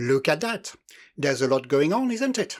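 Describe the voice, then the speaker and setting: A speaker with a non-native accent swings very widely in pitch in a very clean recording with a silent background. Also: man. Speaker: model railway hobbyist. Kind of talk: scripted hobby tutorial voiceover.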